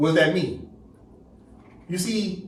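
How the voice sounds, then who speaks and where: A man with a high pitch speaks amid audible room echo. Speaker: teacher leading a study class. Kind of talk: lecture.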